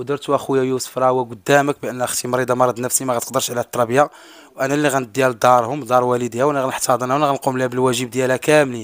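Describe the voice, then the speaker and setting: A man speaks at a very fast pace with monotone, flat intonation. The sound is dry with no echo. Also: hardly any pauses. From Morocco. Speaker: brother of missing woman, content creator; content creator. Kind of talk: interview testimony. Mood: earnest, sorrowful. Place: home room. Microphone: handheld.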